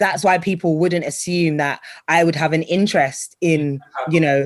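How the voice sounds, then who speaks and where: A woman with a British accent, fairly low in pitch, at a moderate pace, on a very clean recording with a silent background. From Britain. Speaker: TV and radio presenter, voice-over artist. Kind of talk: interview answer. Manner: bubbly, energetic.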